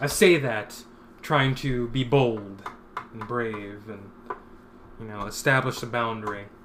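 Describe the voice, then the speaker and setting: A man with an American accent and medium pitch speaks at a fairly slow pace with long, frequent pauses, ordinary pitch variation and big swings in loudness, amid noticeable background noise and audible room echo. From Philadelphia, Pennsylvania. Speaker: comic artist streamer. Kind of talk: casual live-stream chat while painting. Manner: mumbling, not projecting much.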